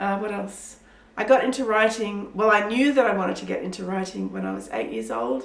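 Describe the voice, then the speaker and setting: With an Australian accent, a woman talks at a fairly quick pace amid audible room echo and noticeable background noise. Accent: sounds kind of Australian. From Pakistan. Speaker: children's author. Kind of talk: interview answers. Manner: animated.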